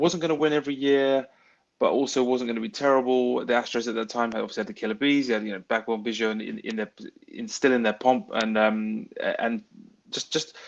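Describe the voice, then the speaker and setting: This man talks very fast in a British accent. His pitch is medium, with ordinary variation. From England. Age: 30s. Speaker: baseball fan. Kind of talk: podcast interview.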